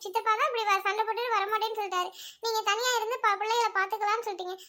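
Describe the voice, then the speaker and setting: A woman's cartoonish character voice at an extremely high pitch. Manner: teasing.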